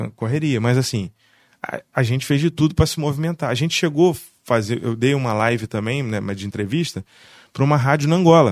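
This man has an unremarkable speaking voice with ordinary pitch variation. He talks at a fairly quick pace. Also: medium pitch for a man. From Barra do Piraí, Rio de Janeiro state, Brazil. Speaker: musician and music producer. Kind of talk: casual chat.

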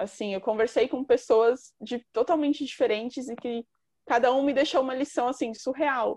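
Against a quiet background with a dry, close sound and no echo, a woman speaks at a moderate pace in a high voice with fairly even intonation. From São Paulo, Brazil (east side). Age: 20s. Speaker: journalist and author. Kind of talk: casual chat.

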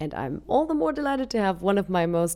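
A woman with a warm tone and vocal fry speaks at a fairly quick pace, her pitch swinging very widely. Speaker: podcast host. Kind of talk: interview. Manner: warm, laughs often.

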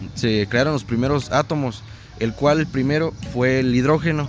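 Music plays in the background as a man speaks at medium pitch and a moderate pace with ordinary pitch variation. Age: 20s. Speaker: science enthusiast guest. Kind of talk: casual chat.

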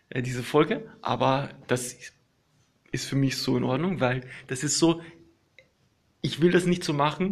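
Somewhat breathy and relaxed in tone, a man speaks at a fairly high pitch. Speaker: podcaster. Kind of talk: casual monologue. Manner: halting, many fillers.

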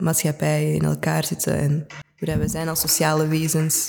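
Clearly audible background noise behind a woman speaking. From Antwerp, Belgium. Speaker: cultural sector organiser. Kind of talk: casual interview.

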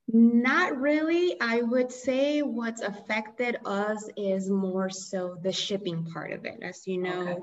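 A woman with a fairly high pitch and lively intonation speaks at a very slow pace, hardly pausing, over noticeable background noise. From Colombia. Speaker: coffee roaster and shop owner. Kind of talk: interview.

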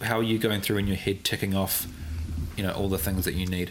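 There is noticeable background noise. A man speaks with fairly even intonation. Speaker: podcast host and wedding videographer. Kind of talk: casual interview. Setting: studio, on camera. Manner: fast.

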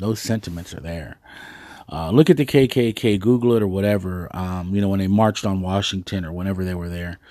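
A man with a very deep, low pitch and a dark, mellow tone talks at a fairly quick pace, with ordinary pitch variation and big swings in loudness, in a very clean recording with a silent background. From Dallas, Texas. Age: 40s. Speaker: podcast host. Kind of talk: solo monologue podcast. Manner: hesitant, many fillers; casual.

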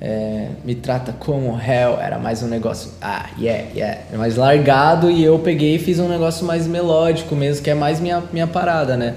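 A man with fairly high pitch and ordinary pitch variation talks at a moderate pace, with hardly any pauses. Noticeable background noise and audible room echo surround him. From Brazil, interior (countryside). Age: 20s. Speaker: singer and rapper. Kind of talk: casual chat.

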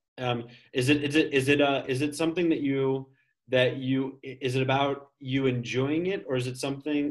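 An unremarkable speaking voice with an American accent and fairly even intonation. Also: man. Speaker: English teacher, podcast co-host. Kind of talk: casual chat.

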